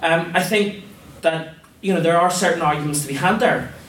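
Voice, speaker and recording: A man's fairly quick speech amid noticeable background noise and audible room echo. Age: 20s. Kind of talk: formal debate speech. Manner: impassioned.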